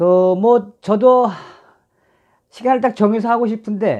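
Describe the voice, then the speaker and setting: Against a quiet background, a man talks with a North Korean accent. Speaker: film director and YouTuber. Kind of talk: casual commentary vlog. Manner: hesitant, filler-heavy.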